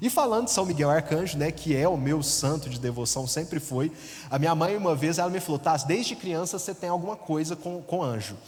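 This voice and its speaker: Over noticeable background noise, a man with a rural Minas Gerais accent speaks fairly quickly in a fairly high pitch with ordinary pitch variation. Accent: Minas Gerais interior accent, noticeable. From interior of Minas Gerais, Brazil. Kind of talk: testimony. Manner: conversational, many fillers.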